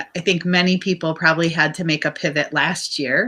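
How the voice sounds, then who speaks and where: Loud and bright with a sharp tone, a woman with an American accent speaks at a moderate pace, her fairly low pitch showing ordinary variation. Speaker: business owner, cooking school founder. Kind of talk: interview.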